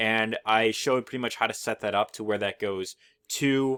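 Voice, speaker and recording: With a dry, close sound and no echo, a man speaks at a medium pitch and fairly even intonation on a very clean recording with a silent background. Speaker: affiliate marketing YouTuber. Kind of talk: tutorial. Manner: fast; casual with many fillers.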